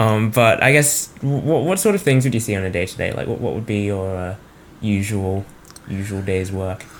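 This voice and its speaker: Noticeable background noise sits behind a man with an Australian accent. He speaks at a moderate pace with a fairly low pitch and ordinary pitch variation. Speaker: podcast host. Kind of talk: interview.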